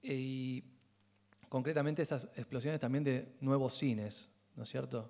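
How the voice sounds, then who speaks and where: On a very clean recording with a silent background, a man with a dark, mellow tone speaks at a medium pitch and a fairly slow pace, with fairly even intonation and long, frequent pauses. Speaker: film researcher and university lecturer. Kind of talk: lecture.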